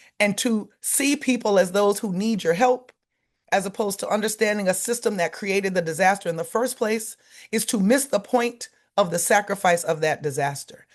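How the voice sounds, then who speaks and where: A woman at medium pitch with ordinary pitch variation, moderate pace, and a quiet background. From US South, Louisiana. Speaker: lawyer and climate justice organizer. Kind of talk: keynote speech. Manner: impassioned.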